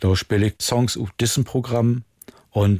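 A man speaks at a very slow pace with fairly even intonation. The recording is very clean and dry, close with no echo and a silent background. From northern Germany, Friesland (Jever). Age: 60s. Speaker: musician. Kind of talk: casual interview chat in Low German. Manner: quiet, reserved.

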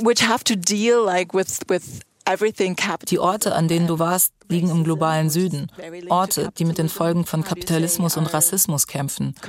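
In a plain, everyday voice, a woman speaks at a moderate pace with fairly low pitch, very even loudness and fairly even intonation, the sound dry and close with no echo. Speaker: music journalist, podcast host. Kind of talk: interview with narration. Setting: studio.

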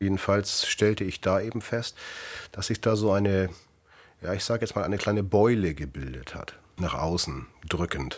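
A man speaks at a moderate pace with a fairly low pitch and ordinary pitch variation. Vocal fry runs through his voice. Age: 50s. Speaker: patient, café worker and former seaman. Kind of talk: recorded interview testimony.

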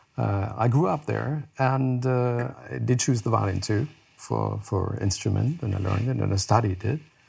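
At a moderate pace, a man speaks at medium pitch, somewhat breathy, with ordinary pitch variation. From Germany, Heidelberg. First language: German. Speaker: news anchor. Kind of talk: casual chat. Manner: halting.

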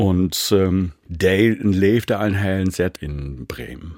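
With a dark, mellow tone, a man speaks at a very deep, low pitch and ordinary pitch variation. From East Frisia, northern Germany. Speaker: musician. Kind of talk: interview.

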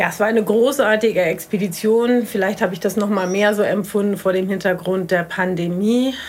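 A woman's medium-pitched voice at a fairly quick pace, with hardly any pauses, fairly even intonation and noticeable background noise. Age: 50s. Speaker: marine biologist. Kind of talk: interview; audio diary. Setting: outdoors on a balcony.

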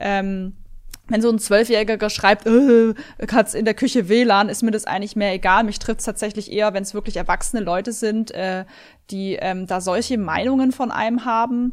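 In a very clean recording with a silent background, a woman with a plain, everyday voice talks at a moderate pace, her fairly high pitch held in fairly even intonation. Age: 30s. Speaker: video game streamer. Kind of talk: interview.

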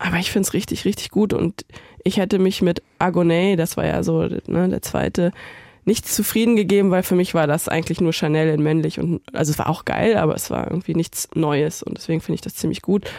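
Her tone is dark and mellow, with vocal fry, and the woman talks at a fairly quick pace. The recording is very clean with a silent background. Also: fairly low pitch for a woman. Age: 30s. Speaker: editorial writer and video director. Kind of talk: casual chat. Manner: animated.

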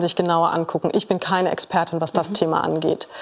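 A woman speaks fairly fast while noticeable background noise is heard. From Saxony-Anhalt, eastern Germany. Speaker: sociologist. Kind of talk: TV panel discussion. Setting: TV studio with audience.

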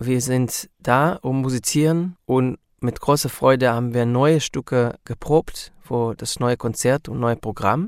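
Speaking with an Israeli accent at a very slow pace and hardly any pauses, a man at medium pitch keeps his intonation fairly even, in a very clean recording with a silent background and a dry, close sound with no echo. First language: Hebrew (speaking German). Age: 40s. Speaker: musician. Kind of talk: interview.

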